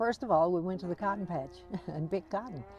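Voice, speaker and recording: A woman speaks at a fairly low pitch with ordinary pitch variation. Music plays in the background. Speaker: author and educator. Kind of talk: interview answer.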